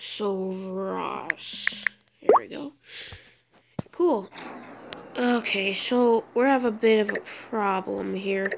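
Pausing long and often, a woman speaks at a very slow pace with a medium pitch and ordinary pitch variation. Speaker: gaming YouTuber. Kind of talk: let's play gameplay commentary. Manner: halting, many filler words.

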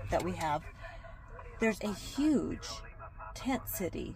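Delivery comes at a moderate pace. Background noise can be noticed throughout. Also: woman, dry sound with no echo. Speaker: fitness vlogger. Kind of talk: casual vlog chat. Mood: reflective, somber. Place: car. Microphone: phone near.

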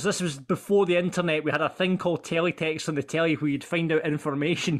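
Talking at a very fast pace, a man uses a high pitch. He has a Scottish accent. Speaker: podcast host and producer. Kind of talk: casual chat.

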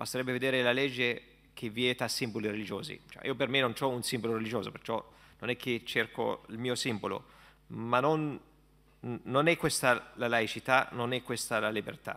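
Speaking with an Arabic accent, a man uses a bright, sharp tone at medium pitch, moving at a moderate pace with fairly even intonation. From Palestine. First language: Arabic (speaking Italian). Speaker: imam. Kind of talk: panel discussion. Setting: stage with audience. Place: hall. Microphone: podium.

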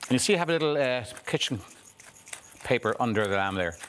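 Noticeable background noise sits under speech delivered at a very fast speed. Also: man. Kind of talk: cooking demonstration chat. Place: studio. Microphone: lapel.

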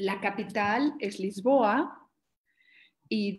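This woman's voice sits at a medium pitch, with a slightly mellow tone and ordinary pitch variation.

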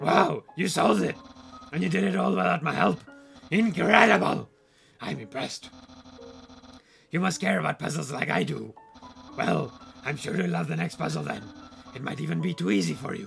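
A man in a put-on character voice at a medium pitch and moderate pace, with faint music in the background. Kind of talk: comic overacting. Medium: game stream. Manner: pompous, excitable, theatrical.

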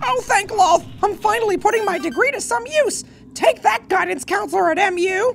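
The voice has an extremely high pitch and a moderate pace. Clear background noise runs beneath it. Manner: blunt, loud, childish enthusiasm.

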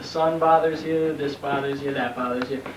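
A man talks at a moderate speed while background noise is noticeable. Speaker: mock weather reporter. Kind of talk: comedy sketch. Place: home room. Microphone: old recording.

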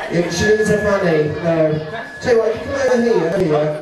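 A man speaks at a very fast pace. Audible room echo and noticeable background noise surround him. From UK. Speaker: stage hypnotist. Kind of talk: live hypnosis show.

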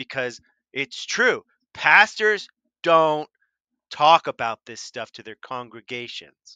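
Slow and with big pitch swings, a man at fairly high pitch has a clear, smooth yet bright, sharp tone, recorded dry and close with no echo.

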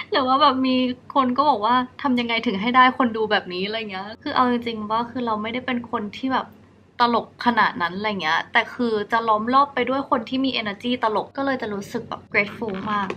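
The woman's pitch moves with ordinary variation. Her voice has a bright, sharp tone. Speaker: vlogger. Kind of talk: casual vlog chat. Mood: relaxed, sleepy bedtime tone. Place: home room. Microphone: camera far.

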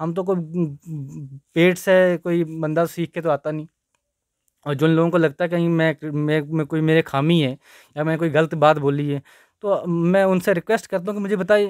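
The pace is moderate and the intonation fairly even. The sound is dry with no echo against a quiet background. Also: man, high pitch for a man. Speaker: advocate and petitioner; interviewee. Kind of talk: news interview. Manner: hesitant at first, improving. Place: office. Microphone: handheld.

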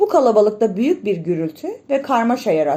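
Someone reads a text aloud. Their voice sounds natural.

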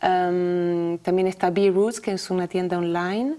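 This is a woman speaking. She has a French accent. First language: French (speaking Spanish). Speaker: healthy food entrepreneur; interview guest. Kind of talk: interview. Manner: halting. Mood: calm, friendly. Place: studio.

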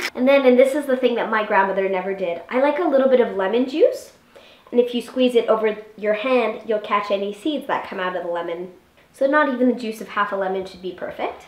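Talking at a very fast pace with ordinary pitch variation, a woman is heard with audible room echo. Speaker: home cooking show host. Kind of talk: tutorial. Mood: cheerful, playful. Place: kitchen. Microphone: camera far.

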